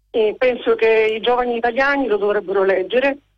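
A woman speaks in a plain, everyday voice with a fairly high pitch and a fairly quick pace. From Udine, Friuli. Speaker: caller. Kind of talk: phone-in call. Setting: phone call.

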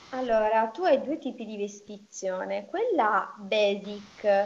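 This woman has a fairly high pitch and speaks in a Sicilian accent. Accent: Sicilian-accented Italian. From Sicily. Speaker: young doctor. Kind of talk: casual interview.

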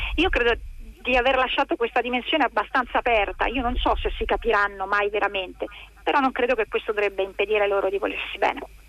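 The speech races at a very fast pace with ordinary pitch variation. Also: woman, fairly high pitch for a woman. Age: 50s. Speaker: novelist. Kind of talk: interview.

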